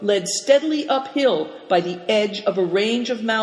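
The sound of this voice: Intonation stays lively in this unforced reading voice.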